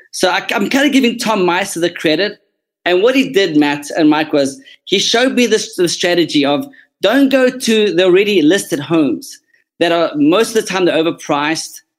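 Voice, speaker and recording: A man with a South African accent, high-pitched, lively in intonation, at a moderate pace. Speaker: real estate agent. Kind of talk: interview, casual professional talk. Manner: sincere.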